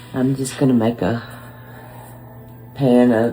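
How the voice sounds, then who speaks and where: Music plays in the background. A woman speaks in a very deep, low voice with fairly even intonation. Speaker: home cook vlogger. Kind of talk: casual talk to camera.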